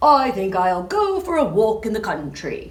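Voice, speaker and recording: A female-sounding voice puts on a character act. Her pitch sits fairly high for a woman. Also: moderate pace. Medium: read story. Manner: sing-song street cry.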